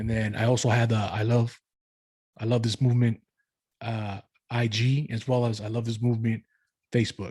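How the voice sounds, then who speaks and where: A man with a medium-pitched, somewhat breathy, dark and mellow tone speaks in a monotone, flat way with long, frequent pauses, recorded dry and close with no echo. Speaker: dancer and podcast host. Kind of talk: casual monologue. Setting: pre-recorded live stream. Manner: halting, many fillers.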